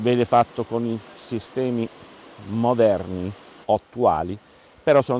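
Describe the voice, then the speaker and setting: Light background noise sits under a man speaking at a fairly slow pace. The sound is dry, with no echo. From Apulia, southern Italy. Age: 50s. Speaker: olive farmer. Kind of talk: interview. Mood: proud, explanatory. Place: farm.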